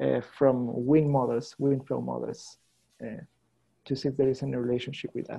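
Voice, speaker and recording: This man speaks at a moderate pace with a Spanish accent. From Chile. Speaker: scientist presenting research. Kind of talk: seminar Q&A. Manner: halting.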